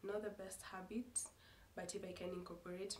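A woman with a fairly low voice speaks in a monotone with flat intonation. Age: 20s. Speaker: lifestyle vlogger. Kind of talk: casual vlog to camera. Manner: halting, self-correcting.

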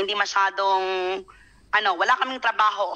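A woman speaks in a bright, sharp tone with ordinary pitch variation. The background is quiet. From Philippines, Bohol (Tagbilaran); Philippines. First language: Cebuano (Bisaya) (speaking Tagalog). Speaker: overseas Filipino worker. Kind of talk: live online interview. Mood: earnest, recounting hardship. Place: home room. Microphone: video call.

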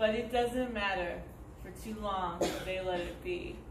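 Over noticeable background noise, a woman speaks at a very slow pace. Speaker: poet reading own poems. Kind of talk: poetry reading, performed poem. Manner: rhythmic, expressive poetic delivery. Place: stage. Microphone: camera far.

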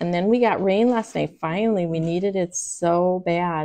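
Delivered at a moderate pace, this is a plain, everyday voice. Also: woman. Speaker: craft live streamer. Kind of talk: casual tutorial chat. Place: home room. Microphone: lapel.

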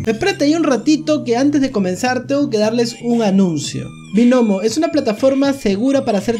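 Male speech, moderately paced, over faint background music. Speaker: streamer doing a sponsor read. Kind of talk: sponsored ad read, casual vlog chat. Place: home room. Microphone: studio mic.

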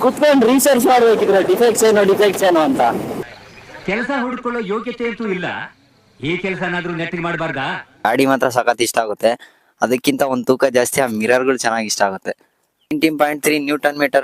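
A man at a high pitch with very wide pitch swings, dry and close with no echo. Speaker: motorcycle reviewer, YouTuber. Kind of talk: casual bike review vlog. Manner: animated, joking.

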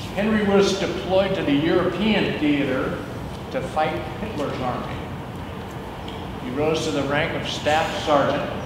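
A fairly slow delivery with long, frequent pauses, noticeable background noise and audible room echo. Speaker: former firefighter. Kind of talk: tribute speech. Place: garage.

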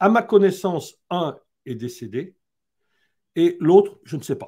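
A man speaks very slowly at a high pitch, his tone dark and mellow, with big swings in loudness. Long, frequent pauses break it up against a quiet background. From Haute-Savoie, France. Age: old. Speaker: building health expert; interview guest. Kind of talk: live-streamed interview. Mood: calm, earnest. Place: home room.

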